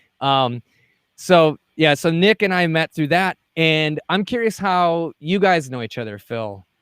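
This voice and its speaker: In a Wisconsin accent, a man with a fairly high pitch speaks at a fairly slow pace, the sound dry and close with no echo on a very clean recording with a silent background. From Wisconsin, US. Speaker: podcast host, mixing and mastering engineer. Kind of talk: casual interview.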